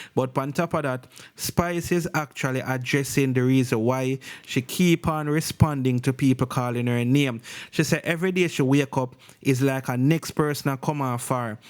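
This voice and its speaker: At a moderate pace, a man talks in a medium pitch with fairly even intonation. The recording is very clean with a silent background. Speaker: entertainment news vlogger. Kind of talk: news commentary. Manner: casual.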